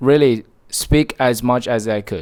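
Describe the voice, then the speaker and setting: A man with a Chinese accent speaks at a very slow pace and medium pitch with ordinary pitch variation. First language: Mandarin Chinese. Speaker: motivational vlogger. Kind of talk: motivational monologue.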